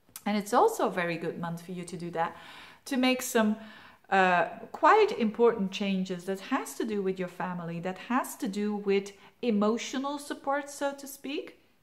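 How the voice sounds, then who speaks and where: Speaking at a moderate pace in a non-native accent, a woman's voice shows big swings in loudness. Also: medium pitch for a woman, lively intonation. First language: Dutch (Flemish). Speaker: astrologer. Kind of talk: monthly horoscope forecast talk. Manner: casual, hesitant with fillers.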